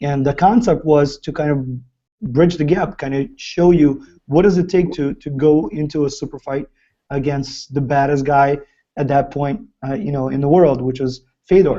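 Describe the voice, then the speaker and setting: A man's fairly high voice with a dark, mellow tone, ordinary pitch variation and a Ukrainian accent, at a moderate pace. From Ukraine. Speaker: fighter's business partner and chat host. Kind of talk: live video chat with fans. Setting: live video stream.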